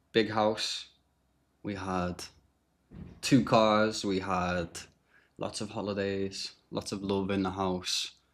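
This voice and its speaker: This is a man speaking. He talks in a Liverpool accent. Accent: Liverpool (Scouse). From Liverpool, England. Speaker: podcast guest sharing recovery story. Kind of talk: testimony. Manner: casual, with frequent fillers and repetitions.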